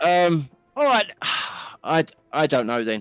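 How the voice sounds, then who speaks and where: A man with a British accent speaks with lively intonation in a dry, close sound with no echo. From England. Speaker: discord chat participant. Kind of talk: casual chat.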